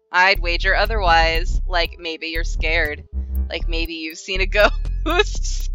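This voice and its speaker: Over faint music in the background, a creaky, put-on character voice moves at a fairly slow pace. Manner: spooky, teasing.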